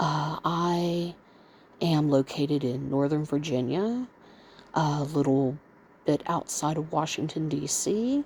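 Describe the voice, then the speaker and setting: Quiet and very even in loudness, a woman speaks at a very slow pace in a very deep, low pitch, with long, frequent pauses. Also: ordinary pitch variation. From US South, Mississippi. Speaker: vlogger, bedbound stroke and kidney patient. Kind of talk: casual monologue vlog. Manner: speaking low, quiet.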